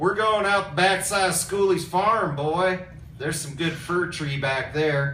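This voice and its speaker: A man drawls in a put-on character voice at a high pitch and a moderate pace. Background noise is clearly audible. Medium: read story. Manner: drawling.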